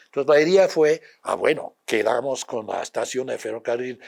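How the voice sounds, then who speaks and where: A man talks with an English accent. His pace is fairly slow. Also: very clean recording, silent background. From United States. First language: English (speaking Spanish). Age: 80s+. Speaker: retired history professor. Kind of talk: interview. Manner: halting, many fillers and repetitions.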